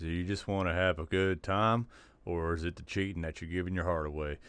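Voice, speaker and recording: With a Southern US accent, a man talks at a moderate pace in a very deep, low pitch with fairly even intonation. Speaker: podcast host. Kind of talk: video commentary.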